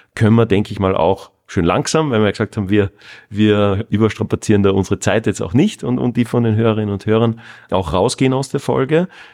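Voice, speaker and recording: With a normal speaking voice, a man talks at a fairly quick pace in a fairly low pitch with ordinary pitch variation. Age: 40s. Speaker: podcast host, online marketing consultant. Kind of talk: interview conversation; scripted outro. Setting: fitness studio.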